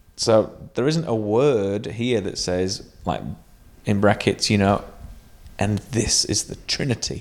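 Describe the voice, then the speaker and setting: Over a very clean recording with a silent background, a man speaks very slowly in a fairly low voice with ordinary pitch variation. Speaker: podcast co-host. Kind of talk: casual chat.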